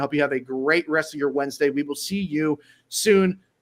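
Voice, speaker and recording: Speaking very fast, a man uses a fairly high pitch with ordinary pitch variation. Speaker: sports podcast host and staff writer. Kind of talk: live sports show sign-off. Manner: casual, with fillers.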